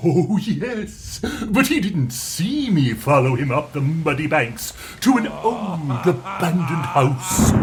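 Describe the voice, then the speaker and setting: A man puts on a character voice, pitched fairly high with very wide swings, talking at a fairly slow pace over clear background noise. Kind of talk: melodramatic villain monologue. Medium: audio drama. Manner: pompous, theatrical.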